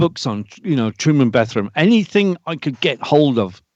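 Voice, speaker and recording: With a British accent and a fairly high pitch, a man talks at a moderate pace with very wide pitch swings, in a dry, close sound with no echo against a quiet background. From Britain. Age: 60s. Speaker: UFO experiencer. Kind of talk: podcast interview. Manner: halting.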